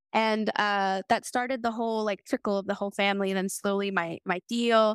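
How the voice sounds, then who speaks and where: A woman with a plain, everyday voice and an American accent speaks at a medium pitch with fairly even intonation, on a very clean recording with a silent background. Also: dry, close sound with no echo. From US South, New Orleans. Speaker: IT specialist and Air Force veteran. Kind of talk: interview.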